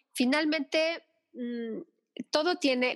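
The sound is dry and close, with no echo. A woman talks using ordinary pitch variation. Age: 50s. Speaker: thanatologist and Reiki therapist. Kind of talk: interview conversation.

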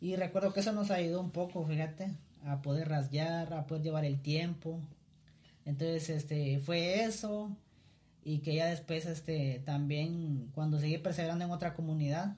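A man speaks at a moderate pace in an ordinary speaking voice. His pitch sits fairly high, with fairly even intonation. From Guatemala (Cuilapa, Santa Rosa). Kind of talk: casual chat.

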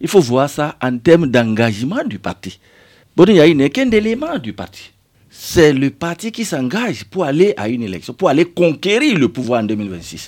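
Very wide pitch swings from a man with a fairly high voice. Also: moderate pace, very clean recording, silent background. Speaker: member of parliament. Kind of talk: radio interview. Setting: radio studio.

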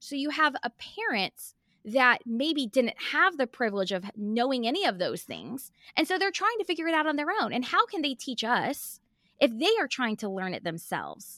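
On a very clean recording with a silent background and a dry, close sound with no echo, a woman projects a raised, bright, sharp, high-pitched voice with very wide pitch swings at a moderate pace. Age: 30s. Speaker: money coach. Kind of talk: interview.

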